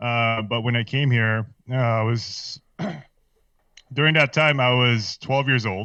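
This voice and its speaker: A man with a slight Filipino accent, medium pitch, a bright, sharp tone and fairly even intonation, speaking at a fairly slow pace with long, frequent pauses against a quiet background. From Philippines. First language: Filipino language. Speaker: podcast guest. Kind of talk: casual chat. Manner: halting.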